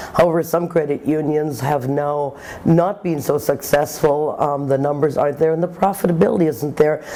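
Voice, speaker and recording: A woman talks in a very deep, low pitch at a moderate pace with hardly any pauses. Her pitch variation is ordinary, and there is noticeable background noise. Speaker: insurance industry executive. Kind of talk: interview. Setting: conference.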